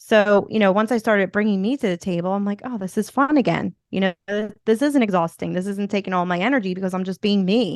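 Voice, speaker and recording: In a Philadelphia accent, the speaker races at a very fast pace with hardly any pauses and ordinary pitch variation, in a dry, close sound with no echo. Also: woman, medium pitch for a woman. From US Northeast, Philadelphia. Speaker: podcast host and motivational speaker. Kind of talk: interview conversation. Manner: casual, filler-heavy.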